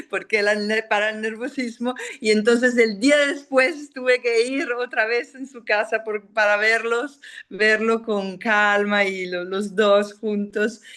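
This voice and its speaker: A woman's fairly high voice with a non-native accent, fairly even intonation, a very slow pace and big swings in loudness. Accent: non-native Spanish speaker. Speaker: film director. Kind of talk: interview. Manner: halting, many fillers and restarts.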